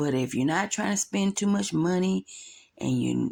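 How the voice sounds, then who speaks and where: A woman with a Southern US accent at a moderate pace, in a very clean recording against a silent background. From US South. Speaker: vlogger. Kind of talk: casual vlog voiceover. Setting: voiceover recorded at night. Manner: chatty, rambling.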